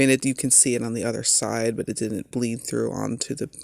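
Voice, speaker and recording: A man's medium-pitched voice with vocal fry, dry and close with no echo. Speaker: art channel creator. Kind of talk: casual narration of drawing tutorial. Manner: casual, halting with fillers.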